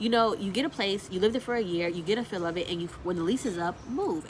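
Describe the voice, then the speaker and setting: Over noticeable background noise, a woman of medium pitch talks at a very fast pace with lively intonation. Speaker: lifestyle vlogger. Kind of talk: casual storytelling vlog.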